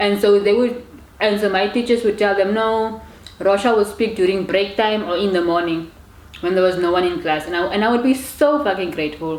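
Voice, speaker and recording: With audible room echo, a woman speaks fairly quickly at a medium pitch with ordinary pitch variation. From Namibia. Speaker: YouTuber. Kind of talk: casual chat. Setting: eating on camera. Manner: stutters when angry or about to cry; repetitive, halting phrasing.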